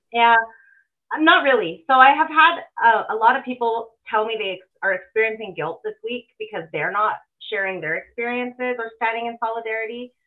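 A woman speaks in a normal speaking voice with a Canadian accent, her fairly high pitch carrying lively intonation at a fairly quick pace with big swings in loudness. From Alberta, Canada. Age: 40s. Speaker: ex-political staffer and party volunteer. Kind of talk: interview.

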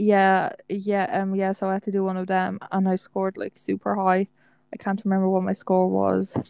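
A woman's medium-pitched voice with an Irish accent, monotone and flat in intonation, at a moderate pace. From Ireland. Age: 20s. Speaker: podcast co-host. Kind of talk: casual chat.

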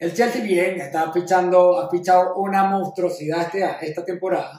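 Here a man talks at a high pitch and a moderate pace. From Venezuela. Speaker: sports podcast co-host. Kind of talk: casual chat.

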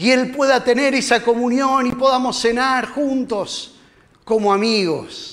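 A man with a Rioplatense accent speaks at a very slow pace and an extremely high pitch, with audible room echo. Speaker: lay preacher. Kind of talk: sermon. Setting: church.

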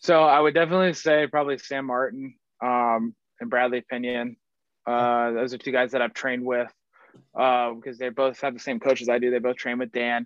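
Using a normal speaking voice with an American accent, a man speaks at a fairly quick pace, a medium pitch and fairly even intonation. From US South, Marietta, Georgia. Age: 20s. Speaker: professional football punter. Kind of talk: casual interview.

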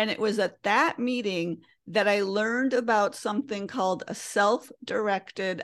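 A woman's ordinary speaking voice with an American accent, medium pitch, ordinary pitch variation and very even loudness, over a quiet background. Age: 50s. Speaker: green living and money coach. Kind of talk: interview conversation.

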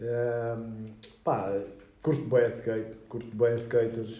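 A man speaks in a medium pitch with a dark, mellow tone. Room echo is audible. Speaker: graffiti artist. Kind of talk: interview. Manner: halting.

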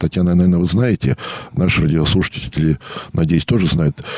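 A man speaks at a fairly quick pace over noticeable background noise. The sound is dry and close, with no echo. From Russia, rural state farm settlement. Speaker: historian and local historian. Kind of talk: radio interview. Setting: radio studio.

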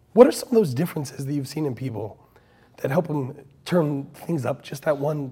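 At a moderate pace, a man speaks with a fairly high pitch and a dark, mellow tone that is somewhat breathy. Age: 40s. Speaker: podcast host. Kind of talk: casual interview conversation. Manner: animated.

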